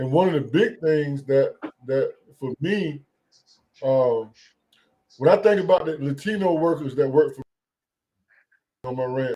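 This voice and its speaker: A man with an American accent and a fairly high pitch speaks at a moderate pace in a somewhat breathy, dark, mellow tone, with ordinary pitch variation and long, frequent pauses. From US South. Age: 60s. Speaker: rancher. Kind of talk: call-in discussion. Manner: halting.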